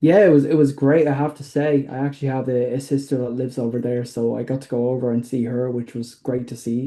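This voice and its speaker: A man speaks at a medium pitch with a dark, mellow tone. His pace is fairly quick and his intonation flat and monotone. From Ireland, Dublin. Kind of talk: podcast interview. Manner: halting, many fillers.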